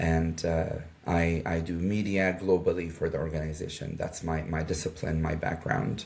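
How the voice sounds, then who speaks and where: At a moderate pace, a man with a very deep, low pitch speaks in a flat monotone over noticeable background noise. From Jordan. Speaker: media advisor for a nonprofit. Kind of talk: interview. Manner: hesitant with fillers.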